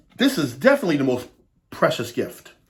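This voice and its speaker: Putting on a shrill character voice, a man talks very fast at a fairly high pitch. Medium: read story.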